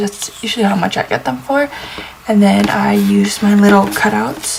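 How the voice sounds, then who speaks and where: A soft-spoken woman with an American accent talks at a moderate pace over noticeable background noise. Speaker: planner YouTuber. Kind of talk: casual tutorial vlog. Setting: at home, early morning.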